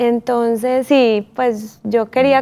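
A woman speaks in a monotone with flat intonation. Her fairly high voice has a dark, mellow tone. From Colombia, Medellín. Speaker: visual artist and former model. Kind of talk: interview. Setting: studio. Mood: calm, reflective. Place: studio. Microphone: lapel.

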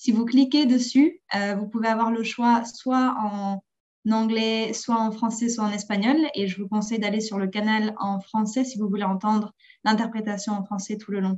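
A somewhat breathy woman's voice, fairly high in pitch and fairly slow, with fairly even intonation against a quiet background. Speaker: webinar moderator. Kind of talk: webinar announcements. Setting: video call. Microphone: video call.

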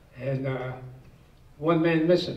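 A man's monotone, flat intonation with audible room echo. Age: 80s+. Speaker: war veteran. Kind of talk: personal war story told to an audience. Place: meeting room.

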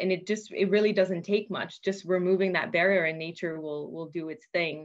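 A woman speaks in a normal speaking voice, fairly low in pitch, at a moderate pace. Her intonation is fairly even, and the background is quiet. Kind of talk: interview answer. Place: office. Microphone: video call.

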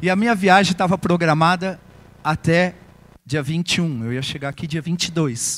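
High in pitch, a man's voice moves along at a fairly slow pace. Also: ordinary pitch variation. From Brazil. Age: 50s. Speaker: financial coach. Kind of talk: motivational talk. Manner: short phrases with pauses for interpreter. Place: hall.

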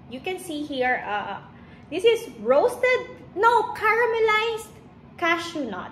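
A woman speaks fairly slowly at an extremely high pitch, with very wide pitch swings and big swings in loudness, amid audible room echo and light background noise. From Philippines, Iloilo (Ilonggo region). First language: Hiligaynon. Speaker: lifestyle vlogger. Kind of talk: casual vlog chat. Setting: at home, filming herself. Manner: casual, with hesitations. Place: kitchen. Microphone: phone near.

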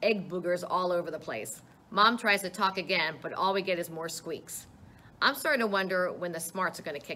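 What we hear is a natural reading voice.

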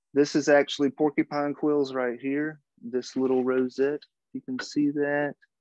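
Dry and close with no echo, a man with an American accent speaks at a moderate pace and fairly high pitch in a monotone, flat way. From US South, Louisiana. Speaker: regalia maker and craft instructor. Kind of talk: tutorial. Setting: video call. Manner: halting, many fillers.

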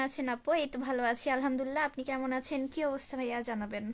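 On a very clean recording with a silent background, a woman speaks at a high pitch with fairly even intonation. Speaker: live streamer. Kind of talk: casual live stream chat reading viewer comments.

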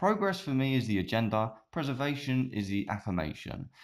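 On a very clean recording with a silent background, a man in an ordinary speaking voice at medium pitch talks at a fairly slow pace with lively intonation. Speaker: web show host and poet. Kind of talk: poetry reading. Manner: stumbling, self-correcting.

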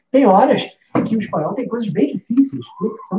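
A man's dark, mellow voice at a moderate pace, with audible room echo and light background noise. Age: 30s. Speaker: music teacher. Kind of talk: live stream lesson. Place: home room.

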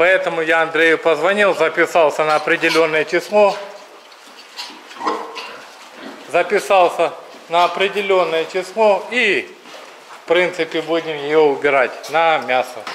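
A man speaks in a high voice at a fairly slow pace, with long, frequent pauses. His intonation stays fairly even over light background noise. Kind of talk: casual vlog chat. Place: farm machine. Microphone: phone near.

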